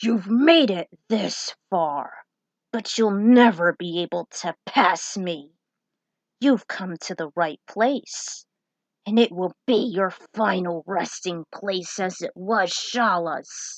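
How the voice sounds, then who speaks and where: Growling in a put-on character voice, a woman speaks at a medium pitch and a very slow pace. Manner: evil, menacing.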